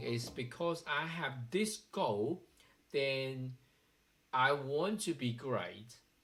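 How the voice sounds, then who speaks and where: A man with a Chinese accent, fairly high in pitch, with lively intonation. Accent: Chinese accent, noticeable. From China. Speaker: software developer vlogger. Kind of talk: personal vlog monologue. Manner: hesitant, with fillers.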